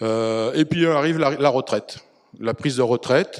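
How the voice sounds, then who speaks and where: A man at medium pitch, fairly slow pace and fairly even intonation. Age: 60s. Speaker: retired firefighter. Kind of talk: testimony. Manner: hesitant, many fillers.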